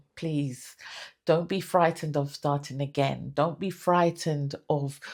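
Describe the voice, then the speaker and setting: A woman speaks in a British accent with fairly even intonation. The recording is very clean, with a silent background. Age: 60s. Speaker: lifestyle vlogger. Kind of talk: motivational talk to camera. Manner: halting, many fillers and repeats.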